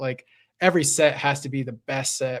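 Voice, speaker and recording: In an unremarkable speaking voice, a man talks at a moderate pace with a fairly high pitch. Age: 30s. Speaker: Pokemon card collecting streamer. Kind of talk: casual chat. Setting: live stream.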